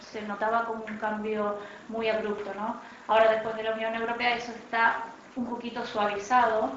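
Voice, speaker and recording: A woman speaks at a moderate pace in a fairly high, monotone, flat voice. Audible room echo and noticeable background noise surround her. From Argentina, Buenos Aires. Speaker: art critic and panelist. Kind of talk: panel discussion. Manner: hesitant, many fillers.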